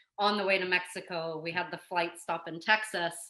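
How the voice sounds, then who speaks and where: A woman talks at a fairly quick pace in a fairly low pitch, her tone bright and sharp and her intonation monotone and flat. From New Zealand. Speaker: police detective. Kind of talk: casual chat.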